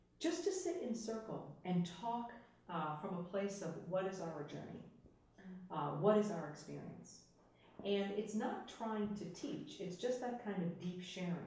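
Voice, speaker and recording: A woman at medium pitch speaks at a fairly slow pace with ordinary pitch variation, against noticeable background noise. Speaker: voice-over and presentation professional. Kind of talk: interview answer.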